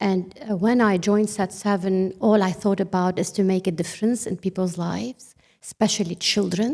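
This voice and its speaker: A woman's dark, mellow tone at a medium pitch and a moderate pace. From Lebanon. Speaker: ministry leader. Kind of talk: panel discussion.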